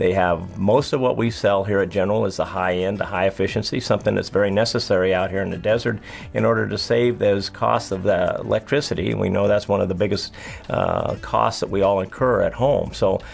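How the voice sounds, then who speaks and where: A man speaks fairly quickly, and noticeable background noise is present. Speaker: air conditioning company owner or manager. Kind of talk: promotional interview talking about his business.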